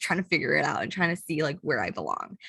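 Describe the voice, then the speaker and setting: Her voice is fairly low for a woman, with vocal fry and ordinary pitch variation. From US Midwest, Chicago. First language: not English. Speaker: public health graduate student. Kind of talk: panel presentation. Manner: casual, many fillers.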